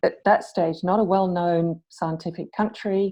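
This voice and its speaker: This is a woman with an English accent. She talks at a moderate pace. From England. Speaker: academic chemist, panelist. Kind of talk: panel discussion.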